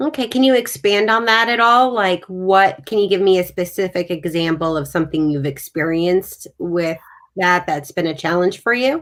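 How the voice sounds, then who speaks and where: Speaking with a New York accent at a moderate pace, a woman uses a medium pitch and lively intonation, with hardly any pauses. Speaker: sales podcast host. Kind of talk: live video interview. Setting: live video stream.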